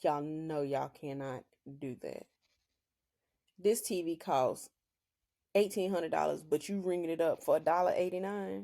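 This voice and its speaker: With an American accent, a woman speaks in a fairly low pitch and a dark, mellow tone, her intonation lively and her speech broken by long, frequent pauses. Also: moderate pace. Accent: Southern country accent, strong when joking. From US South, rural Oklahoma. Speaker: podcast host. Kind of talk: casual solo podcast monologue. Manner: loud; animated.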